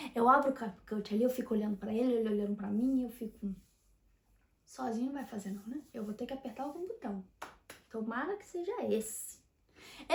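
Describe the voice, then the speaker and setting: A woman talks fairly quickly in a high, animated voice with lively intonation and big swings in loudness. Long pauses come often. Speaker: YouTuber, personal development. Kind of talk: casual monologue to camera.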